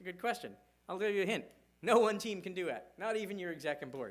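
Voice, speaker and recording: A man speaks in a high voice at a very fast pace. Room echo is audible in the recording. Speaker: conference speaker on cybersecurity. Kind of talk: conference talk.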